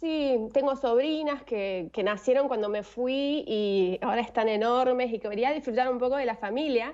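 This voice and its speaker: The delivery moves at a moderate pace with ordinary pitch variation. There are hardly any pauses. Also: woman, high pitch for a woman. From Argentina. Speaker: former flight attendant, online language tutor. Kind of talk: interview answer.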